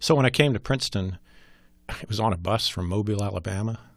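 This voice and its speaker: A somewhat breathy man with an American accent, fairly low pitch and a fairly quick pace, on a very clean recording with a silent background. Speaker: former congressman and war veteran. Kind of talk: interview. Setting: studio.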